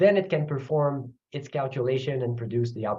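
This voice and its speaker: Speaking at a moderate pace with a Quebec French accent, a man's fairly high voice comes across somewhat breathy. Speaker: computer science professor. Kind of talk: technical lecture. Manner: halting, with fillers and repeats.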